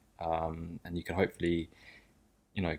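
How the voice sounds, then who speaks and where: With a southern English accent, a man speaks in a very deep, low pitch. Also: very clean recording, silent background. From southern England (Sussex, near Brighton). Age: 20s. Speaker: podcast co-host. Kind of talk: casual chat. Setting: home studio in living room.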